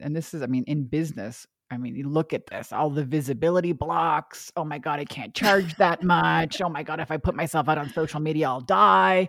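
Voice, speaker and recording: A woman talks at a fairly quick pace with hardly any pauses, her pitch very deep and low, with vocal fry. The recording is very clean, the background silent. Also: ordinary pitch variation. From Canada. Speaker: business coach and author. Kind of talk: interview.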